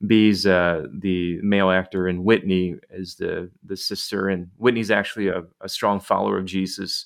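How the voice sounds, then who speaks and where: In an American accent, a man with a very deep, low voice speaks at a moderate pace in a flat monotone, with hardly any pauses. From Detroit, US Midwest. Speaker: church leader and author. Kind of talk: casual chat.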